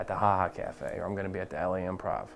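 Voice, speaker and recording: Over music in the background, a man with a fairly low voice speaks very fast in a flat monotone. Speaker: stand-up comedian. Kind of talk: casual interview chat with comedic bits.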